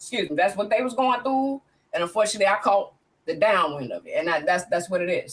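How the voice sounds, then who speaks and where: The speaker is a woman. Her voice rests at a fairly high pitch. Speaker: guest sharing personal story. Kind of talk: testimony. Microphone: laptop mic.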